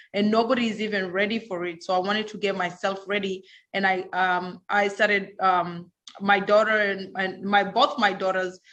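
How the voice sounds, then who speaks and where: Speaking at a moderate pace, a woman holds a medium pitch in a monotone, flat intonation. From Kenya. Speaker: banker and crypto advisor. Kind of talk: panel discussion. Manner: halting.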